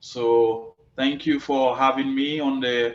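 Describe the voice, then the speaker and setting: A man with a Caribbean accent. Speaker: cannabis agriculture expert and business owner. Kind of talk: interview. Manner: repeats words often.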